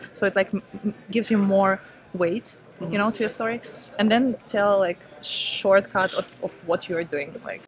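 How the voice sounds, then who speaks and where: Against noticeable background noise, a woman with an Eastern European accent speaks at a moderate pace in a medium pitch with fairly even intonation. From Ukraine. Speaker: startup founder. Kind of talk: interview.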